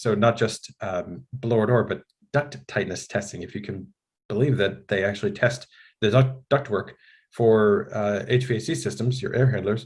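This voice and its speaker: Somewhat breathy, a man with an American accent speaks at a moderate pace with ordinary pitch variation. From United States. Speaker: building science trainer. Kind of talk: webinar presentation. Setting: online webinar. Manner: casual, frequent fillers.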